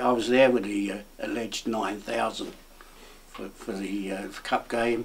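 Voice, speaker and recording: A man's fairly low voice at a moderate pace, fairly even in intonation, with noticeable background noise. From Essex, England (Tilbury/Grays). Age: 70s. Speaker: former mayor and football fan. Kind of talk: interview. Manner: hesitant, with repeated words.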